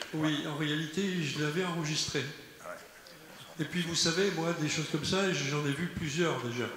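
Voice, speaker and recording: Amid noticeable background noise and audible room echo, a man with a fairly high pitch speaks at a fairly slow pace, with fairly even intonation and long, frequent pauses. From Algeria. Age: 70s. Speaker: audience member. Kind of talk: audience question.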